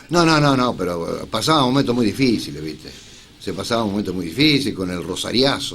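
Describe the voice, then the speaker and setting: A man with a Rioplatense accent, very wide pitch swings and a fairly quick pace. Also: medium pitch for a man. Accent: Argentine Rioplatense Spanish. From Rojas, Buenos Aires, Argentina. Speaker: journalist and radio announcer. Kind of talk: interview answer. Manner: casual, conversational.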